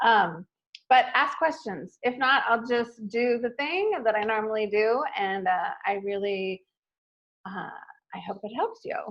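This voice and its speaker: Here is an ordinary speaking voice from a woman with a fairly high pitch. She talks at a fairly slow pace with lively intonation. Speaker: marketing speaker. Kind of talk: presentation. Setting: live stream webinar.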